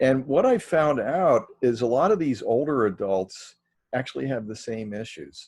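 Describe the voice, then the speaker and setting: An ordinary speaking voice from a man at medium pitch, with lively intonation and a moderate pace, over a quiet background. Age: 60s. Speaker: Presbyterian minister, chaplaincy director. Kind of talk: casual chat. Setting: podcast recording.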